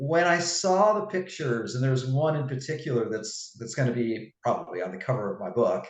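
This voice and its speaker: A man speaks at a very fast pace with a medium pitch, lively intonation and a somewhat breathy voice, with audible room echo. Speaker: fitness coach and author. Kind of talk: interview.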